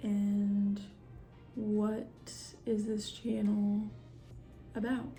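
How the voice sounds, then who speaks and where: With music in the background and audible room echo, a soft-spoken woman talks very slowly, with long, frequent pauses. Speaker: vlogger. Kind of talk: casual chat. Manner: halting.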